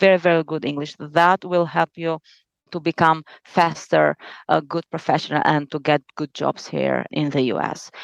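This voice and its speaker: A woman with an Albanian accent speaks at a moderate pace, her pitch very deep and low, her intonation fairly even. The sound is dry and close with no echo, over a quiet background. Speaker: lawyer. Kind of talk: interview.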